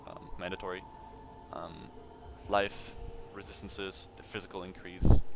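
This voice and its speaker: A man's fairly even intonation over music in the background. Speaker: video game youtuber. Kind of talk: gameplay build tutorial. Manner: fast; hesitant with many fillers.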